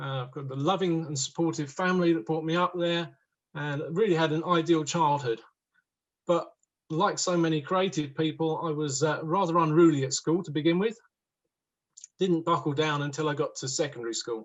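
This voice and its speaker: Fairly even intonation from a man, delivered at a fairly quick pace. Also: fairly high pitch for a man. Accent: southern English. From southern England, East Sussex. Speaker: woodworker. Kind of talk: talk to online audience.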